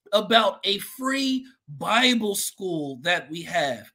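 Raised, projected male speech with a bright, sharp tone. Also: quiet background. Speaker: church host welcoming viewers. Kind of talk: livestream welcome announcements. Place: home room. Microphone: webcam.

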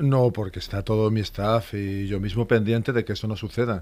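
This man has a plain, everyday voice, fairly low in pitch, and talks at a fairly quick pace with fairly even intonation. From Asturias, Spain. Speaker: police inspector and elite unit instructor; elite unit instructor. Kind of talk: radio interview. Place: studio. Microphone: studio mic.

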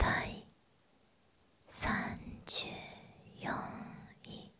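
A woman whispers at a very slow pace. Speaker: ASMR creator. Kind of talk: ASMR whispered ranking reading. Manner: whispered. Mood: calm, soothing. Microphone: studio mic.

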